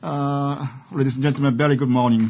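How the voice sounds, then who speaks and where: A man talks at a moderate pace with a Japanese accent. His pitch sits in the medium range. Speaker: law professor. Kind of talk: lecture. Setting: seminar with audience. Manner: loud; halting.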